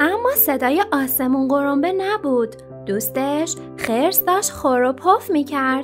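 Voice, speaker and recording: With music behind her, a woman speaks in a gentle, calm tone at a fairly slow pace. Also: very even loudness. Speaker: storyteller / narrator. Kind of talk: children's bedtime story narration with character voices. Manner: gentle, calm storytelling.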